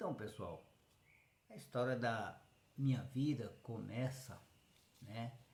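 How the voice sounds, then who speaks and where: Somewhat breathy, a man speaks at a very slow pace with long, frequent pauses, a medium pitch and ordinary pitch variation, with audible room echo. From Brazil, Goiás (interior). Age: 60s. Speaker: rural man telling his life story. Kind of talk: personal life story monologue.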